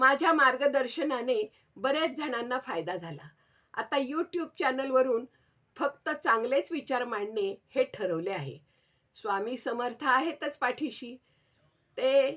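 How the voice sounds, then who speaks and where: A woman's high-pitched voice moves with lively intonation. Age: 70s. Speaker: astrologer and YouTuber. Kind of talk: personal vlog narration.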